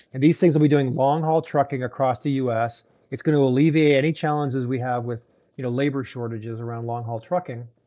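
Against a quiet background, a man talks at a very fast pace in a dark, mellow tone with fairly even intonation. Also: medium pitch for a man. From Canada (Toronto). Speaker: venture capital investor, auto industry executive. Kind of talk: interview.

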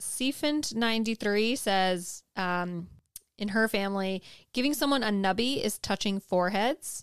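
On a very clean recording with a silent background, a woman with an American accent speaks at a fairly slow pace, fairly high in pitch, with ordinary pitch variation and very even loudness. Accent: slight Southern US, comes out when drinking. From North Carolina, US South. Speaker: podcast co-host.

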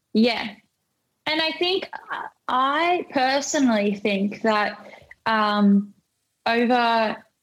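With an Australian accent, a woman speaks at a fairly high pitch with lively intonation. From rural Australia. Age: 20s. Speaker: DJ and music producer. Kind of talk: casual chat. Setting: podcast recording.

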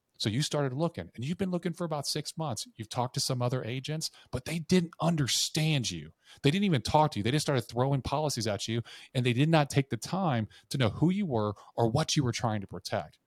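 Fairly high-pitched and somewhat breathy, a man talks very fast with lively intonation in a dry, close, echo-free recording that is very clean with a silent background. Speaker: insurance sales trainer. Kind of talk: casual chat. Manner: dramatic storytelling.

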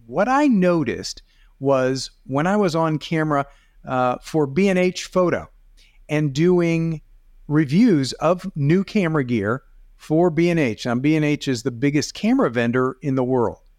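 This man talks at a moderate pace with lively intonation and a fairly high pitch. His loudness stays very even, and it is a normal speaking voice. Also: quiet background. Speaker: video coach and photographer. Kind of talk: casual chat.

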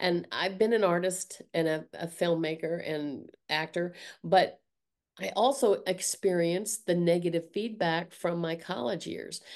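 With an American accent and an unremarkable speaking voice, a woman talks at a fairly slow pace and fairly low pitch with ordinary pitch variation over a quiet background. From US South. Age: 60s. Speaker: art teacher and artist. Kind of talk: casual interview conversation.

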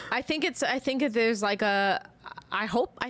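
In an American accent, a woman talks at a moderate pace with lively intonation, recorded very cleanly against a silent background. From Chicago, US Midwest. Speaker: sports broadcaster. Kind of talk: casual chat.

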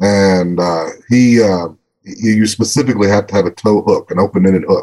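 With a Texan accent, a man talks at a moderate pace and fairly low pitch, with ordinary pitch variation. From northeastern Texas. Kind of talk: casual chat. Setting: video call.

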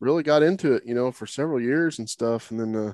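A man with an American accent speaks at medium pitch and a fairly quick pace. The sound is dry and close with no echo, against a quiet background. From Oklahoma. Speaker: podcast host. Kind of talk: casual interview chat. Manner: many fillers, halting.

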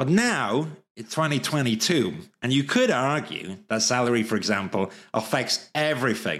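A man with a Welsh accent speaks fairly slowly with lively intonation on a very clean recording with a silent background. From Wales. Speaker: livestreamer and architecture recruiter. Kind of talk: live stream solo talk. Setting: live stream. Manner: chatty, informal.

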